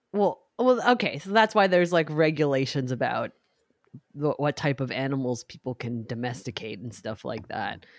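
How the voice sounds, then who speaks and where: Captured in a very clean recording with a silent background, a woman speaks at a very deep, low pitch. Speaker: podcast host. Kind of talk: casual banter podcast chat.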